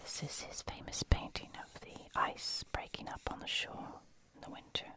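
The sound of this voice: Whispering in a croaky voice, the speaker keeps a moderate pace.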